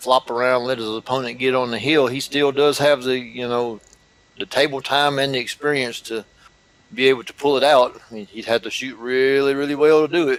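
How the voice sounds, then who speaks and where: A man with a Southern US accent talks at a medium pitch. His intonation stays fairly even over noticeable background noise. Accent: southern drawl. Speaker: pool commentator. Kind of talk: live commentary.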